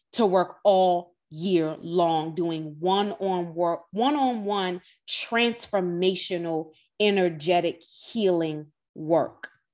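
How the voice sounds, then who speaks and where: A woman speaks at a medium pitch against a quiet background. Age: 30s. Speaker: podcast host and energy healer. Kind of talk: casual monologue. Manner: animated.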